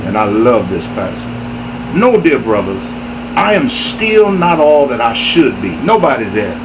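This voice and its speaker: The man speaks at a fairly slow pace. Noticeable background noise and audible room echo accompany him. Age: 60s. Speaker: inspirational speaker. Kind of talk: motivational sermon.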